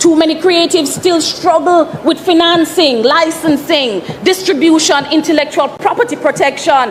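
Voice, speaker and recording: Moderate pace in a Jamaican accent, with hardly any pauses, ordinary pitch variation and very even loudness, over noticeable background noise. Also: woman, extremely high pitch for a woman. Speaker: member of parliament. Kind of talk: parliamentary speech.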